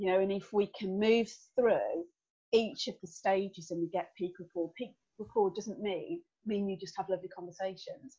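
A woman with a strong Birmingham accent, medium pitch, ordinary pitch variation, a somewhat breathy voice and a moderate pace. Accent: Birmingham (Brummy), strong. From Birmingham, England. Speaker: business owner, team development consultant. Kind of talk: interview conversation. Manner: chatty, animated.

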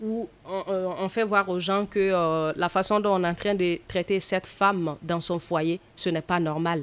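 On a very clean recording with a silent background, a woman talks at a very slow pace with medium pitch and fairly even intonation. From Mali, rural village. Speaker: actress and storyteller. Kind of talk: casual interview.

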